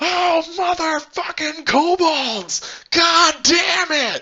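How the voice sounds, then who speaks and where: A put-on character voice at an extremely high pitch and a very slow pace. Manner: exasperated, cursing.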